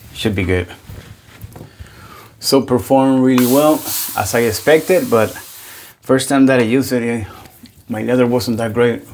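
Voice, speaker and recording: Over noticeable background noise, a man with a medium pitch and ordinary pitch variation speaks at a moderate pace, broken by long, frequent pauses. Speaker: wet shaving youtuber. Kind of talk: casual product review. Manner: loud.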